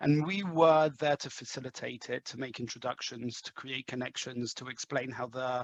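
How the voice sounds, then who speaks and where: In an English accent, a man at medium pitch speaks with hardly any pauses and big swings in loudness, the sound dry and close with no echo. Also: fairly even intonation, moderate pace. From England, London. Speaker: sales executive. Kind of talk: interview. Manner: halting, many fillers.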